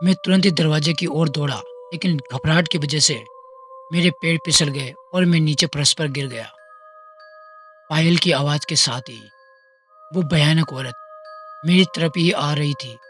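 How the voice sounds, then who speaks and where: Over music in the background, the speech shows big swings in loudness, ordinary pitch variation, and long, frequent pauses. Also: man, fairly high pitch for a man. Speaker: podcast host. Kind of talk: horror story narration.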